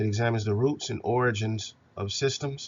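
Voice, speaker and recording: A man speaks in a somewhat breathy voice at a medium pitch and moderate pace, with fairly even intonation. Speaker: university instructor. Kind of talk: recorded lecture.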